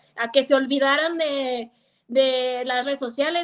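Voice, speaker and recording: A woman's high-pitched voice at a fairly slow pace. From Mexico, Guadalajara, Jalisco. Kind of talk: casual chat. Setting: video call.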